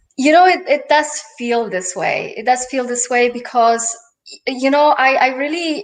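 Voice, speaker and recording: A woman with a slight Polish accent speaks at a moderate pace with ordinary pitch variation. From Poland. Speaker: life and business coach. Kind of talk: interview. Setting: live stream.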